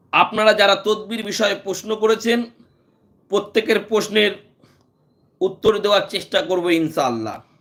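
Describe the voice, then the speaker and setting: A man with a high-pitched voice speaks in a fairly even intonation. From India, West Bengal. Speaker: Islamic healer and YouTube preacher. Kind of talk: live stream religious talk. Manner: phrase-by-phrase with frequent pauses.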